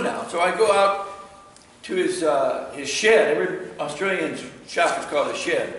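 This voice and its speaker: Lively intonation marks a man's speech, with audible room echo and light background noise. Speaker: club demonstrator. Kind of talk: presentation to audience, storytelling. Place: workshop. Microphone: camera far.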